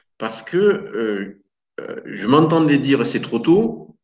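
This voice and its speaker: Speaking fairly slowly in a Toulouse accent, a man with a fairly high, somewhat breathy voice uses lively intonation. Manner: rueful, slightly wounded pride.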